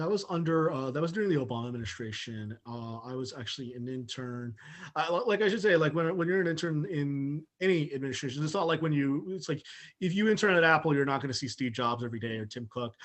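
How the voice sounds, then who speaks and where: Talking at a very fast pace, a man with an American accent uses lively intonation at a fairly high pitch. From Southern California. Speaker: journalist. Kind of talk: interview. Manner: halting, many fillers.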